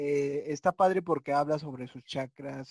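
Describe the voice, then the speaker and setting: A man speaks with a Mexican accent at a fairly high pitch. The sound is dry and close, with no echo. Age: 20s. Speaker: podcast host. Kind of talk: casual chat. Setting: video call.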